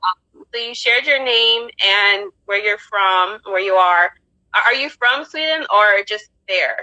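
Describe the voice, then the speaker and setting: She speaks with an American accent at a fairly slow pace, her pitch fairly high and varying in an ordinary way. Her tone is bright and sharp, and the sound is dry and close with no echo. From United States. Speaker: podcast host. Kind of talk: casual chat. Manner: animated.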